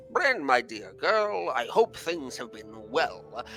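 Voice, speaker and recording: A man speaks in a put-on character voice, fairly high-pitched and fairly slow. Music plays clearly behind him. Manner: warm, fond.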